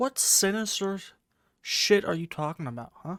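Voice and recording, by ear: A man's high-pitched, fairly bright voice at a moderate pace with lively intonation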